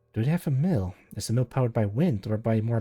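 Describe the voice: What we hear is plain reading aloud.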